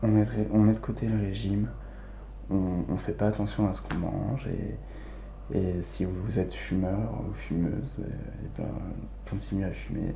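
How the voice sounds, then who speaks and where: Soft-spoken and calm, a man talks at a fairly slow pace with a very deep, low pitch, very wide pitch swings, and long, frequent pauses. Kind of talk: ASMR soft spoken advice talk. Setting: home recording, condenser microphone. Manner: soft-spoken, calm.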